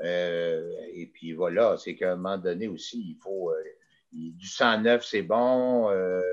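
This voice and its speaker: Very slow speech from a man, very deep and low in pitch, with ordinary pitch variation. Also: big swings in loudness. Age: 60s. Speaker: mayor. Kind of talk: interview. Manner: halting.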